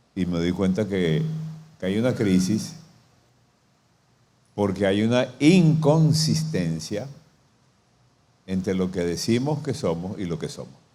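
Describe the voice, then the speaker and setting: A man speaks at a very slow pace with long, frequent pauses, a fairly low pitch and a dark, mellow tone. His pitch swings very widely, and audible room echo is present. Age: 70s. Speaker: pastor. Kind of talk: sermon.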